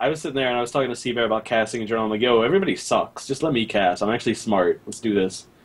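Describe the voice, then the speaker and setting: A man talking very fast with hardly any pauses, medium pitch and ordinary pitch variation, over noticeable background noise. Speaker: esports commentator. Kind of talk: casual chat. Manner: excited when casting.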